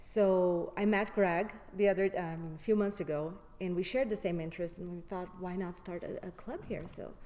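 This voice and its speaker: A woman speaks at a medium pitch with a non-native accent and fairly even intonation. Her loudness swings widely, and the room echo is audible. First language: not English. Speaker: graduate. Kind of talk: interview.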